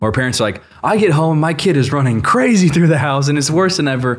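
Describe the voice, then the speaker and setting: A man talks at a fairly quick pace with lively intonation in a normal speaking voice. The recording is very clean, with a silent background. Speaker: podcast host. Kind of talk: casual interview chat. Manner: casual, friendly.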